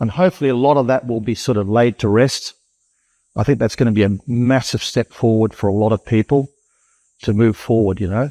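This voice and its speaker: Fairly quick, fairly even speech from a man with an Australian accent, medium pitch, and a dark, mellow tone, dry and close with no echo. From Darwin, Australia. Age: 60s. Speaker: cyclone survivor. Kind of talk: interview. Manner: halting.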